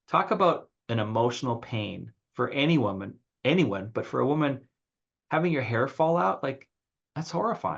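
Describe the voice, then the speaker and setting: A man's medium-pitched voice with vocal fry, an animated tone, and lively intonation. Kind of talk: casual discussion. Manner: fast.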